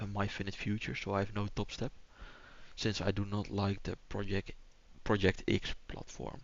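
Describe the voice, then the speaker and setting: With a Dutch accent and vocal fry, a man talks at a moderate pace, his pitch fairly low and his intonation fairly even. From Netherlands. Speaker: day trader streamer. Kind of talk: live trading stream commentary. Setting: live stream. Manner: hesitant, with fillers.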